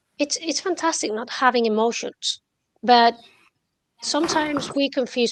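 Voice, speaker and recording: In a dry, close sound with no echo, a woman with a high pitch, ordinary pitch variation and a non-native accent speaks at a fairly slow pace. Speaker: trader. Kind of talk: casual chat. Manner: halting.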